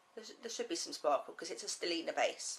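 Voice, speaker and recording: A woman is speaking. She has a southern English accent. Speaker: knitting podcaster. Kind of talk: casual talk to camera.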